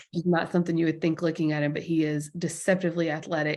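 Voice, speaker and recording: A woman talks with a slight Southern US accent and a fairly low pitch. The background is quiet. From Alabama, US South. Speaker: sports journalist. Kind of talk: podcast interview.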